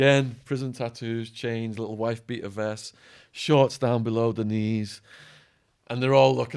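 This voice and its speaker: This man has an English accent and a medium pitch. He talks at a moderate pace. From England. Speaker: former stockbroker and ex-prisoner, author. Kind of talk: podcast interview storytelling. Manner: animated.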